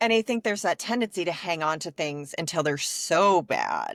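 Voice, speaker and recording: A woman's fairly low voice with an American accent and lively intonation, dry and close with no echo, on a very clean recording with a silent background. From US Midwest. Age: 40s. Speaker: podcast host, business owner. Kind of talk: podcast interview.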